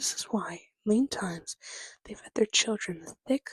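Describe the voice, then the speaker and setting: A woman whispers in a breathy voice. The sound is dry and close, with no echo. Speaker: ASMR creator. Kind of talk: ASMR book reading. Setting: background game audio, poor microphone. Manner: whispered, breathy, with stutters.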